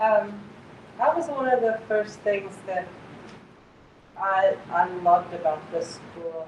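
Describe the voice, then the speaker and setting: A woman speaks at medium pitch with ordinary pitch variation. Noticeable background noise runs behind her. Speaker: parent and substitute teacher. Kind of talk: workshop discussion. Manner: halting.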